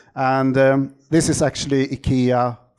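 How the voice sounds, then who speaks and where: A man speaks with a Swedish accent at a medium pitch. His tone is dark and mellow. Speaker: optical engineer, company CEO. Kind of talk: conference talk. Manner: halting, many fillers.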